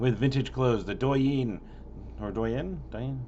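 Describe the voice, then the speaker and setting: Audible room echo surrounds a man speaking in a very deep, low pitch. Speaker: local music concert calendar vlogger. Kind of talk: casual event listing monologue. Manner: rushed; stumbling over names.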